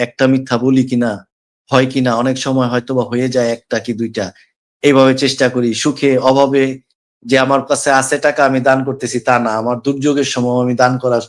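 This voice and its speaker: An unremarkable speaking voice from a man at medium pitch, very cleanly recorded against a silent background. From Bangladesh, Dhaka. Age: 40s. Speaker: caller to live religious discussion. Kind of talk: testimony.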